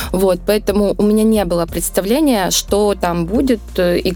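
Noticeable background noise sits behind a woman at medium pitch. She speaks at a fairly slow pace with ordinary pitch variation. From southern Russia, Rostov region. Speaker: winemaker. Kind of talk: interview conversation.

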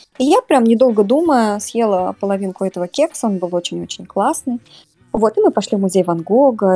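Over music in the background, a woman speaks fairly quickly at a medium pitch with ordinary pitch variation, the sound dry and close with no echo. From Russia, Samara. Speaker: podcast guest. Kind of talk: casual storytelling interview.

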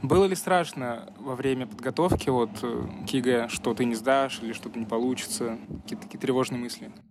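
Amid noticeable background noise, a man with a medium pitch speaks at a fairly quick pace with lively intonation. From Russia, Nizhny Novgorod. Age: young. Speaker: podcast host, student. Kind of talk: casual interview.

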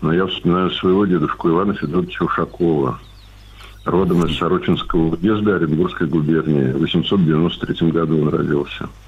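Speaking in a very deep, low voice, a man keeps a moderate pace and ordinary pitch variation. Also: very even loudness. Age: 60s. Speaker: retired grandfather, caller. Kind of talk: phone-in anecdote. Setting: phone call.

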